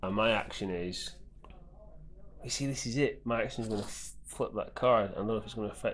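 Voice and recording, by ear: Speaking fast, a man keeps his voice at a fairly low pitch.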